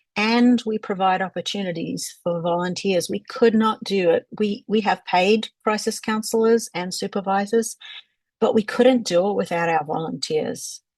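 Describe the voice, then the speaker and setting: At a moderate pace, a woman with a medium pitch and a somewhat breathy sound speaks with ordinary pitch variation. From Australia. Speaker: crisis line trainer. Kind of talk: panel presentation.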